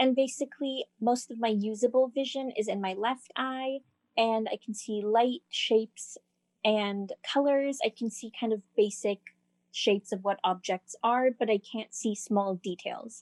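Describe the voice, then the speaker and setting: Speaking at a fairly slow pace, a woman has a plain, everyday voice and a fairly high pitch. Her intonation is fairly even, and the sound is dry and close with no echo. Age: young. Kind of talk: casual chat.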